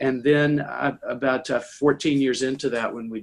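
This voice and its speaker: An ordinary speaking voice from a man with an American accent, medium pitch, ordinary pitch variation and a moderate pace. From US South, Tennessee. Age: 60s. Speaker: impact investor and author. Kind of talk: conversational interview. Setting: conference call.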